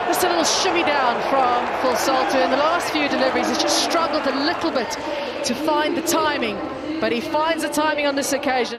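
An animated voice at a fairly quick pace over noticeable background noise. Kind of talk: sports commentary. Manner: animated, fluent, clipped delivery.

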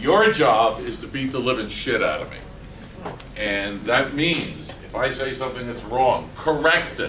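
A man at medium pitch talks at a fairly slow pace with a fairly bright tone and audible room echo. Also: ordinary pitch variation.

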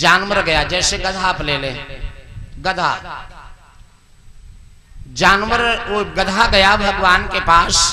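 A man speaks at a very slow pace in a raised, projected voice with a high pitch and fairly even intonation. Long, frequent pauses break up his speech over noticeable background noise. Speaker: religious storyteller. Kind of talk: devotional story narration. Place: open country. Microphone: handheld.

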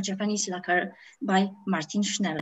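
A woman with a Polish accent at a fairly slow pace. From Poland. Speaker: art historian; panelist. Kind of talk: lecture. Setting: video call. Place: home room. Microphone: webcam.

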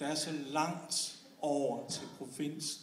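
Audible room echo and light background noise behind a man's voice. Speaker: slam poet. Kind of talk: slam poem, performed spoken word with comic satire on Copenhagen versus the provinces. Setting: stage with audience. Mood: ironic, humorous. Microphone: camera far.

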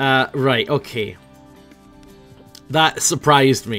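Music plays in the background as a man speaks with a Scottish accent. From Scotland. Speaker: gaming YouTuber. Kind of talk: casual gameplay commentary.

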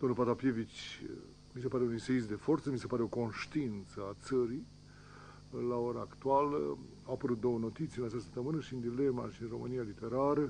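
A man's voice at a fairly quick pace, fairly even in intonation, dry with no echo, over light background noise. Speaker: TV host. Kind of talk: guest introduction, reading review. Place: studio. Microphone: podium.

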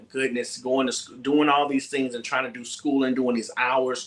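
This is a man's voice at medium pitch. He speaks with an American accent. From Mississippi, US South (Gulfport). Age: 20s. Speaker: gospel singer. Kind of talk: casual chat. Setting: video call.

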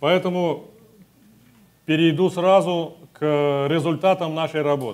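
Speaking in a high pitch, a man keeps his intonation fairly even. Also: fairly slow pace. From Russia, Siberia; Russia. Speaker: SCENAR therapist; conference presenter. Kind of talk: conference talk. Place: hall. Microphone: lapel.

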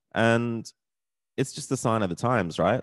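An animated man with an Australian accent, ordinary pitch variation, in dry sound with no echo against a quiet background. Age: 40s. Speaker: vlogger. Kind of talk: casual rant vlog. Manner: animated, sweary, ranting; casual, rambling with frequent fillers. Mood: frustrated, resigned. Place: home room. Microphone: studio mic.

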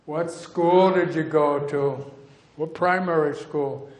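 There is audible room echo around a man's voice. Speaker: physician and bird conservationist. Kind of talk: lecture. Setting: stage with audience. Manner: animated storyteller. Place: hall. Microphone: headset.

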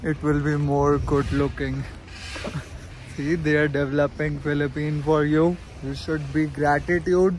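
A man speaks at a fairly slow pace in a flat monotone, with a dry, echo-free sound and light background noise. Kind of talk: casual vlog chat, playful banter. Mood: teasing, playful. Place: forest. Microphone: phone near.

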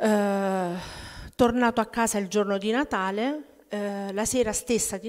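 A plain, everyday voice speaks at a moderate pace with fairly even intonation. The background is quiet. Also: woman. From Abruzzo, Italy (childhood partly in Germany). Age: 40s. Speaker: testimony giver at prayer group. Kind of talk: testimony. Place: church. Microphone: podium.

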